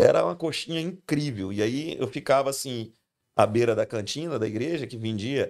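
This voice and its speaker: Heard in a very clean recording with a silent background, a man has an unremarkable speaking voice at medium pitch. He keeps a moderate pace with lively intonation. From Brazil, Goiás (Goiânia). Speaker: pastor. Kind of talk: casual chat.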